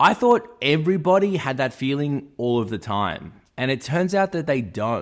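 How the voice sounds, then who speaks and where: The delivery is animated in tone, with an Australian accent. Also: man, very clean recording, silent background. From Australia, Melbourne. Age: 30s. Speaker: YouTuber. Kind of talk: personal vlog monologue.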